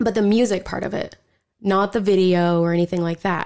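In an American accent, a woman speaks at a medium pitch and a moderate pace. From Oklahoma. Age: 20s. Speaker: listener sharing ghost story. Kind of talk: casual chat.

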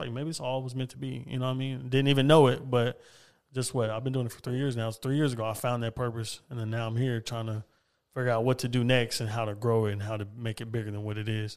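Speaking at a very fast pace, a man with an American accent keeps a medium pitch and fairly even intonation. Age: 20s. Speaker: podcaster. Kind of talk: casual chat.

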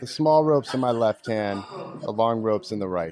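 Against noticeable background noise, a man with a medium-pitched voice talks at a moderate pace with lively intonation. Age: 40s. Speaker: magician. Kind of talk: casual chat. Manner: animated.

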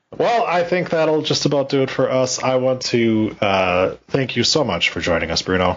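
Over noticeable background noise, a man talks at a moderate pace with hardly any pauses, a medium pitch, very wide pitch swings and very even loudness. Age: 30s. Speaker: wrestling podcast host. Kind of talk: casual chat.

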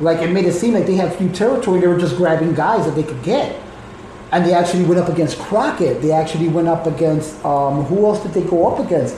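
A man talks at a very fast pace with a high pitch. There is noticeable background noise. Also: ordinary pitch variation. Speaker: wrestling fan guest, called uncle. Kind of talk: casual chat about wrestling. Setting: recorded live in a home in Chicago.

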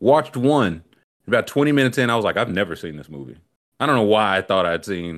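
Talking at a very fast pace, a man with a fairly low pitch sounds animated, his pitch swinging very widely and his loudness rising and falling sharply. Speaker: podcast host. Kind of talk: casual comedic banter. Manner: animated, joking, quick-witted.

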